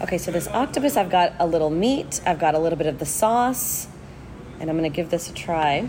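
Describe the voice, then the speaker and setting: Speaking in an unremarkable speaking voice with an American accent, a woman talks at a fairly quick pace and fairly low pitch, her intonation lively. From Houston, Texas. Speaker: food writer and podcast host. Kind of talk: casual interview over food tasting; scripted narration.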